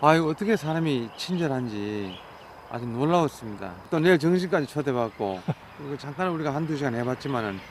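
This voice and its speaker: Against noticeable background noise, a man speaks fairly quickly at a fairly high pitch with very wide pitch swings. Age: 70s. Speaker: backcountry explorer. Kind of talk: interview answer.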